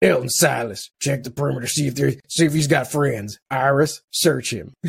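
Using a put-on character voice, a man sounds gruff and raspy, speaking at medium pitch and a moderate pace. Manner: forced tough, commanding.

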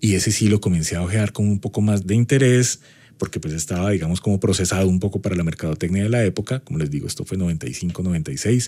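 This man talks at a very fast pace in a very deep, low voice with a dark, mellow tone and ordinary pitch variation. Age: 40s. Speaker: university lecturer and marketing consultant. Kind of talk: personal anecdote; podcast lecture.

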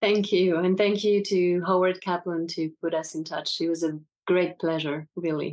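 In a French accent, a woman speaks at a moderate pace with a fairly low pitch and monotone, flat intonation. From France. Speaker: actress. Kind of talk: casual interview.

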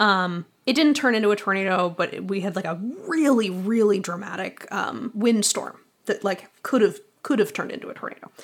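In an American accent, a woman talks fairly quickly at a medium pitch with ordinary pitch variation. It is a normal speaking voice. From Boston. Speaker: audio drama writer and theater artist. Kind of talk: casual interview chat.

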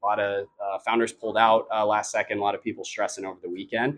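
A man talks at a very fast pace with an American accent. His pitch sits in the medium range. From Austin, Texas. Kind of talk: interview answers.

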